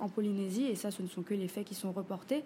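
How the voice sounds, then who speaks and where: Somewhat breathy and dark, mellow in tone, a woman speaks at medium pitch with fairly even intonation. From French Polynesia, Papara (Tahiti west coast). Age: 20s. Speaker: feminist artist and activist. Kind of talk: interview.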